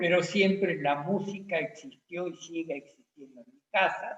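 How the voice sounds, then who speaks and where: A high-pitched man at a fairly slow pace. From Argentina, Santa Fe province rural colony. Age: 80s+. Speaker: musician. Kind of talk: personal introduction in online talk.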